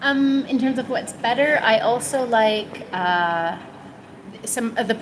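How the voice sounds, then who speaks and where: A woman in a Canadian accent, fairly high-pitched with ordinary pitch variation, amid noticeable background noise and audible room echo. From Canada, mountain region. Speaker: interview guest, foreign resident. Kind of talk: casual interview. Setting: indoors, air-conditioned cafe.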